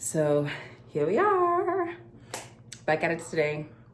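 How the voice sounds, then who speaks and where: A woman talks at a fairly low pitch. There is audible room echo. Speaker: life coach and vlogger. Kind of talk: casual vlog to camera.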